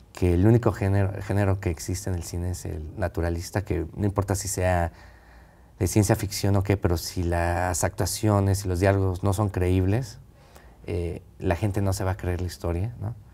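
At a moderate pace, a man speaks in a very deep, low pitch with a dark, mellow tone, a somewhat breathy quality and monotone, flat intonation. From central Mexico (Texcoco, State of Mexico); State of Mexico, Mexico. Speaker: film director; guest. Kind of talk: interview. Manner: halting, many repetitions. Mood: relaxed, reflective. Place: studio. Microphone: lapel.

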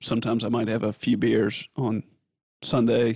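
A man's medium-pitched voice in a Southern US accent at a moderate pace, with a dry, close sound and no echo. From US South. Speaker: podcast host. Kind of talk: podcast interview.

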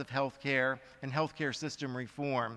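A man's bright, sharp tone comes across over a quiet background. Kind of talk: conference speech. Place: hall. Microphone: podium.

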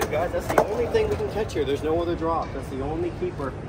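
A man talking at a very fast clip over background music. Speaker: skateboarder vlogger. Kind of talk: casual vlog chat. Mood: mildly disappointed. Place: hall. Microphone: phone near.

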